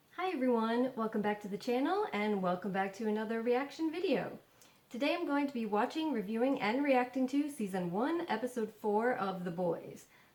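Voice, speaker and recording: Noticeable background noise sits behind a woman talking at a fairly quick pace, her fairly high voice full of lively intonation. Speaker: youtuber reacting to TV episodes. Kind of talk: casual vlog intro. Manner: hesitant with fillers.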